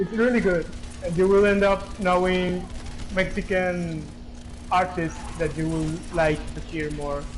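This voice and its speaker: A man with a Spanish accent and a high pitch speaks at a fairly slow pace with ordinary pitch variation and audible room echo. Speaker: gamer chatting online. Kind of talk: casual chat. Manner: halting.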